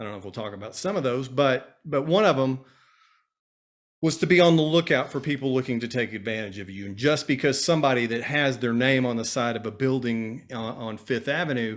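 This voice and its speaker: A man speaks at a fairly quick pace and medium pitch, with ordinary pitch variation. His loudness swings widely in a very clean recording with a silent background. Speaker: financial advisor. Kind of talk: casual chat. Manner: fast; animated.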